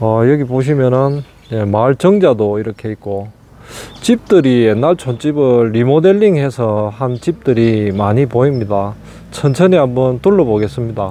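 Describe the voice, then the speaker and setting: A man's voice in a dry sound with no echo, with light background noise. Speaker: rural property vlogger. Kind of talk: casual vlog commentary. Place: open country. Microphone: phone near.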